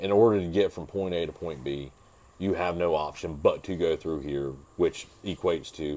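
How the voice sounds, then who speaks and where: The man's voice is very deep and low. His pitch varies in an ordinary way. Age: 30s. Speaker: motocross racer and mechanic. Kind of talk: casual chat. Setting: home podcast.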